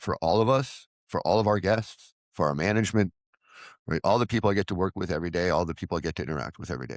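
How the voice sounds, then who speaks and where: A man's very deep, low voice with vocal fry, very fast and with lively intonation, in a dry, close sound with no echo on a very clean recording with a silent background. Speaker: recovery vlogger, former addiction counselor. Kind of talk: personal monologue. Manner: loud; animated.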